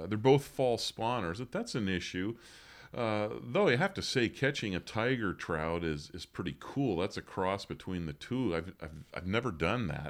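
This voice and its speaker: On a very clean recording with a silent background, a man with an American accent speaks at a moderate pace with fairly low pitch and lively intonation. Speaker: podcast host. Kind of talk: casual chat. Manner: conversational, hesitant with fillers.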